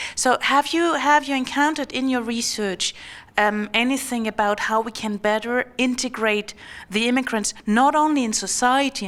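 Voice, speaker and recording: In a German accent, a woman speaks at a moderate pace with ordinary pitch variation. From Germany. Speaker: academic audience member. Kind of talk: audience question.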